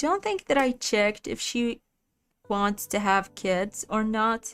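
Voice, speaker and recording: A woman speaks with a non-native accent in a fairly high voice. Her pace is very slow. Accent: non-native English, unique pronunciation. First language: not English. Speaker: gaming streamer. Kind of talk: live gameplay stream chat. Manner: casual, chatty.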